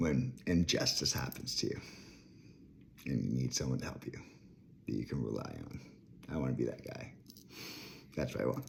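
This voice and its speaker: Through noticeable background noise, a man with a very deep, low pitch speaks at a moderate pace with fairly even intonation and long, frequent pauses. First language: French. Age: 30s. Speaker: vlogger. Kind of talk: rant. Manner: rambling, jumping between topics.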